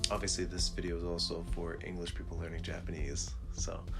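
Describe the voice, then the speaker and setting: A man speaks softly. Music plays in the background. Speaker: Japanese learner sharing lessons. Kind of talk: casual talk to camera. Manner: soft-spoken.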